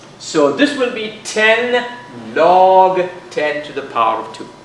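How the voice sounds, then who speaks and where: A man's voice swings very widely in pitch. Noticeable background noise and audible room echo surround him. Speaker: physics teacher. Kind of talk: lecture. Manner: loud.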